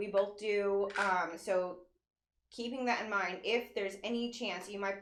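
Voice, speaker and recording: This woman's intonation stays fairly even. Audible room echo surrounds her voice. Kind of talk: casual chat.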